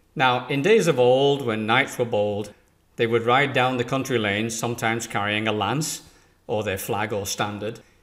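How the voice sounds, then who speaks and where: A man with an English accent at medium pitch and moderate pace, ordinary pitch variation, in a very clean recording with a silent background. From England. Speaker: business trainer. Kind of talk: scripted presentation.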